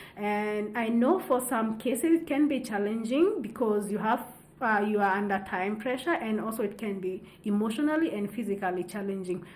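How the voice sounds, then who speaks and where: A woman's voice in a Kenyan accent, with ordinary pitch variation. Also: fairly high pitch for a woman, moderate pace. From Central Kenya. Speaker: wildlife researcher, PhD candidate. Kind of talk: interview answer.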